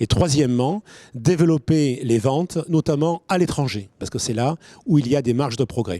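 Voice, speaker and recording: A man talks at a moderate pace with a fairly high pitch and lively intonation. His tone is dark and mellow, and the sound is dry and close with no echo. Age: 60s. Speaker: winegrower and agronomist. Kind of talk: pitch presentation.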